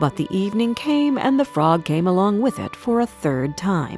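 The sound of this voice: Faint music plays behind a woman speaking at a moderate pace. Her medium pitch makes big swings, and her tone is slightly mellow.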